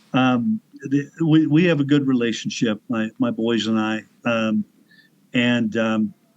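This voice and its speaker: Fairly slow speech from a man with ordinary pitch variation. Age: 60s. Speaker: motorcyclist and author. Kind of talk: interview conversation. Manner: halting.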